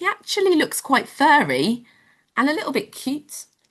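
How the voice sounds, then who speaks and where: A woman with a British accent talks at a moderate pace. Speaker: home education teacher. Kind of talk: live online children's lesson. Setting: live stream with chat. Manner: whispering.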